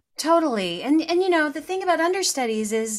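An American accent from a woman whose pitch swings very widely. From US Midwest, Missouri Ozarks. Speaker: Broadway actress and singer. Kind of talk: interview.

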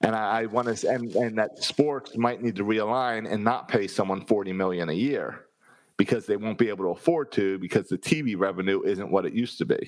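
A man with an American accent has an unremarkable speaking voice, fairly low in pitch. He talks at a fairly quick pace with ordinary pitch variation. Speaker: sports podcast co-host. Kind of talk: casual chat.

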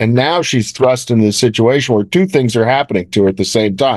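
A man speaks in a plain, everyday voice at a medium pitch and a fairly quick pace. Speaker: film producer. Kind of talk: interview.

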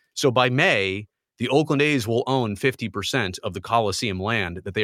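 A man with an American accent and a plain, everyday voice, at a moderate pace with ordinary pitch variation, on a very clean recording with a silent background. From US West Coast. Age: 40s. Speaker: sports reporter. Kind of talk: casual interview. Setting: home studio.

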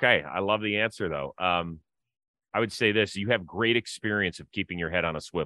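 At a fairly quick pace, a man talks in an unremarkable speaking voice, fairly low in pitch with ordinary pitch variation. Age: 50s. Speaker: podcast host. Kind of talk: casual chat.

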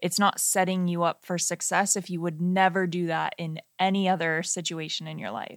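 In a very clean recording with a silent background, a woman with a fairly low pitch speaks at a moderate pace, with fairly even intonation, hardly any pauses, and an ordinary speaking voice. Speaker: wedding filmmaker and podcast co-host. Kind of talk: casual podcast chat. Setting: studio, sharing one microphone.

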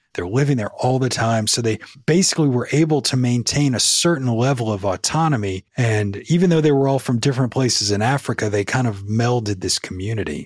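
On a very clean recording with a silent background, a man with an American accent and a medium pitch speaks at a fairly quick pace with hardly any pauses. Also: ordinary pitch variation. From US South, New Orleans. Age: 40s. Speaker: podcaster and ghost story teller. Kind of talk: storytelling in casual interview.

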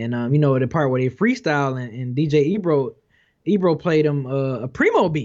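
Over a quiet background, a man with a normal speaking voice and fairly high pitch talks at a fairly quick pace with ordinary pitch variation. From Detroit. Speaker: hip hop video reviewer. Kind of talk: casual chat.

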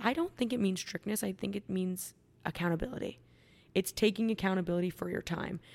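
A woman with an ordinary speaking voice talks at a fairly quick pace and medium pitch, her intonation fairly even. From Canada, Ontario. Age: 20s. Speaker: fitness influencer. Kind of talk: casual chat.

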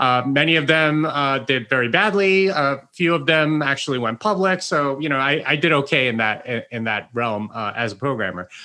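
A man's bright, sharp tone, fairly high in pitch, with lively intonation, a moderate pace, hardly any pauses and a quiet background. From immigrated to the US at age eight. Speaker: Bitcoin author and programmer. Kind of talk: interview. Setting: on camera video interview. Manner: halting, many fillers and repetitions.

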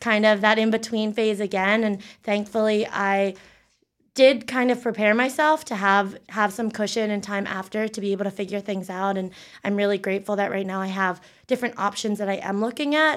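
With an American accent and a normal speaking voice, the speaker keeps a moderate pace and fairly even intonation in a very clean recording with a silent background. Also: woman. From Pennsylvania, York County. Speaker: digital strategist. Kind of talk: interview.

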